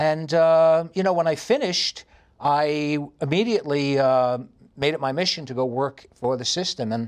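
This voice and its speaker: A man with a New York accent, fairly high in pitch, at a moderate pace with ordinary pitch variation against a quiet background. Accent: heavy New York. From New York City. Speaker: radio host and Pilates studio owner. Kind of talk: interview conversation. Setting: studio, video recording.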